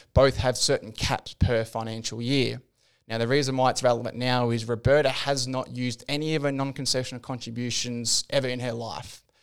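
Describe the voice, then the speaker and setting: At a fairly quick pace, a man speaks in a monotone, flat intonation at a medium pitch. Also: very clean recording, silent background. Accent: Australian. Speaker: financial planner. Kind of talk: casual chat.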